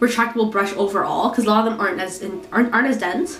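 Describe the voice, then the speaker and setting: There is noticeable background noise behind a woman whose pitch is fairly high. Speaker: beauty product reviewer; student. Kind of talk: casual talk to camera.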